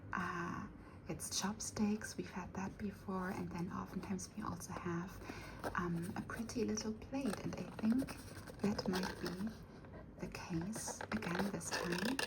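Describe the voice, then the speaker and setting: This soft-spoken voice moves at a fairly slow pace. Noticeable background noise is present. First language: not English. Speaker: unboxing video creator. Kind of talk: product unboxing. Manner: halting, many fillers.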